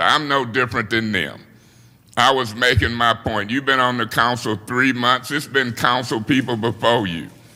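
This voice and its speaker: Loud and bright with a sharp tone, a man talks at a moderate pace with fairly even intonation. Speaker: city council president. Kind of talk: council meeting debate. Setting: city council chamber.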